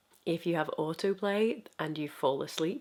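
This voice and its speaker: A woman speaks at a moderate pace with a very deep, low pitch. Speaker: YouTube video essayist. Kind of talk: video essay talk to camera. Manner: soft-spoken.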